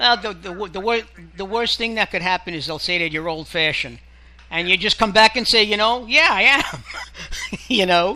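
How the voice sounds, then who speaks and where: High male voice, raised and projected, at a moderate pace with ordinary pitch variation and long, frequent pauses. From Israel. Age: 60s. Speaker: radio co-host. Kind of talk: casual chat.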